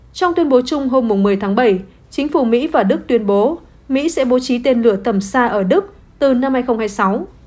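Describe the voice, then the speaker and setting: Lively intonation marks this woman's high-pitched voice. She speaks at a fairly slow pace. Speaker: news presenter. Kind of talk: news reading.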